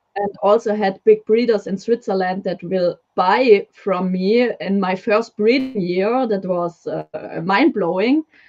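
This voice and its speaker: A woman with a German accent speaks at a fairly slow pace. She uses ordinary pitch variation and hardly any pauses. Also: medium pitch for a woman. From Germany. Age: 20s. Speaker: leopard gecko breeder. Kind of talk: casual interview chat. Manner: halting.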